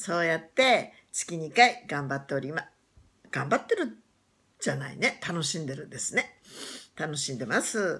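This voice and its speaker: A woman's fairly low, bright, sharp voice at a moderate pace, with very wide pitch swings and big swings in loudness against a quiet background. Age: 60s. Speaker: YouTuber; new channel host introducing herself. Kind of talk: casual chat; casual vlog chat. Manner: halting. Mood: cheerful, warm. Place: home room. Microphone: phone near.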